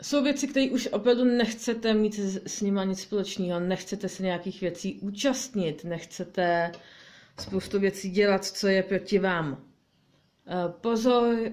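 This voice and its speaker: A woman speaking at a fairly slow pace, with ordinary pitch variation. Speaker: card reader. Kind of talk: weekly tarot reading. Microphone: phone near.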